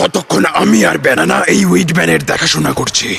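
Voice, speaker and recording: Over clear background noise, a man puts on a raspy character voice, very deep and low in pitch, and speaks at a fairly quick pace. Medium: fan dub.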